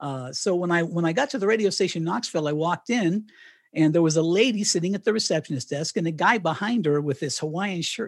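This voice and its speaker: A man with a General American accent talks at a very fast pace in a high pitch. His intonation is lively. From Colorado (Canon City). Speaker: retired radio broadcaster and author. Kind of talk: interview. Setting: remote call from home.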